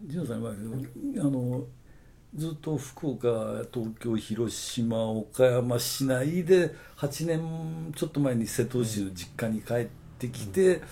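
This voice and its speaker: Somewhat breathy with a dark, mellow tone, a man speaks at a medium pitch and very slow pace with ordinary pitch variation. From Okayama, Japan. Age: 60s. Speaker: advertising agency owner. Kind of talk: casual chat.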